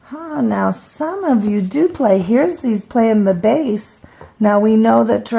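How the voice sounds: The speaker uses a natural reading voice. The intonation is lively.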